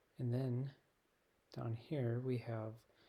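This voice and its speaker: A soft-spoken man talks with a dark, mellow tone at medium pitch, somewhat breathy. His intonation is monotone and flat. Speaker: teacher. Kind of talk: software tutorial.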